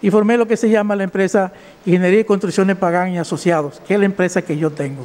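Very fast speech comes from a man with a high pitch. His pitch variation is ordinary. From Dominican Republic. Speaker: defendant, civil engineer. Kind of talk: court testimony; courtroom defense statement. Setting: courtroom. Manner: halting. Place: hall. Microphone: podium.

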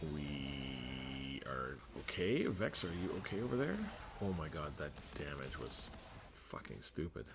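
A man speaks fairly slowly with vocal fry. His very deep, low pitch still has lively intonation. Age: 40s. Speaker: gaming YouTuber. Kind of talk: gameplay commentary. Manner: casual, thinking aloud.

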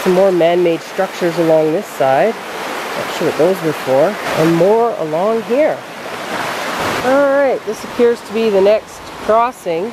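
Noticeable noise fills the background. The sound is dry, with no echo. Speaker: travel vlogger. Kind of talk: casual vlog chat. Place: forest. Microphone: phone near.

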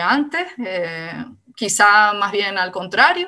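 Her intonation is lively as this woman speaks at a very slow pace. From Canary Islands. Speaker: philosophy researcher; speaker. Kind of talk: talk; talk in an online seminar. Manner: halting. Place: home room. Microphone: video call.

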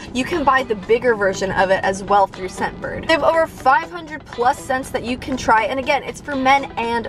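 Over clear background music, a woman speaks at a high pitch. Her fairly quick speech has a dry sound with no echo. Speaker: vlogger. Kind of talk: casual vlog chat, sponsor segment. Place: car. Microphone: phone near.

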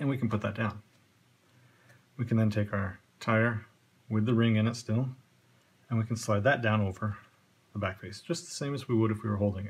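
Fairly low-pitched and somewhat breathy, a man speaks at a moderate pace with fairly even intonation. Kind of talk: tutorial.

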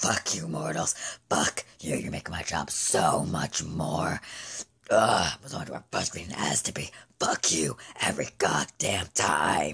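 This put-on character voice is raspy, with a very deep, low pitch. It moves at a moderate pace. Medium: dub. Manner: menacing, mocking.

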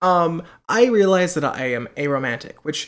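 A man's high-pitched voice with very wide pitch swings over a quiet background. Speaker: vlogger. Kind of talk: casual vlog chat. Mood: personal, laughing, candid. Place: home room. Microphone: webcam.

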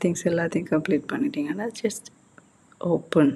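Somewhat breathy, a woman talks in a fairly low pitch. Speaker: tech tutorial YouTuber. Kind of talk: tutorial. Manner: casual, code-switching Tamil and English.

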